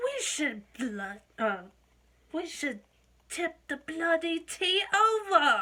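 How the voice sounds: A put-on character voice in a British accent, extremely high in pitch, very slow, with very wide pitch swings. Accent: bad British.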